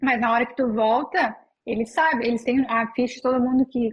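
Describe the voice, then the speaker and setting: A woman's high-pitched voice, fairly quick in pace and fairly even in intonation. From southern Brazil, Novo Hamburgo (Rio Grande do Sul). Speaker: Brazilian expat in New Zealand. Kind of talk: casual interview.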